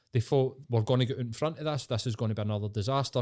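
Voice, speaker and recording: On a very clean recording with a silent background, a man with a Glasgow accent and a dark, mellow tone talks very fast at a medium pitch with fairly even intonation. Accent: Scottish (Glasgow area). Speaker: podcast guest. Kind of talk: casual chat.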